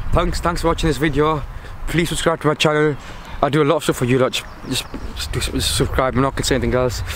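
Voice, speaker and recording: A man speaks at a very fast pace. There is light noise in the background. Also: dry sound with no echo. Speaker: vlogger. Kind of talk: casual vlog chat. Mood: nervous, joking. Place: waterside.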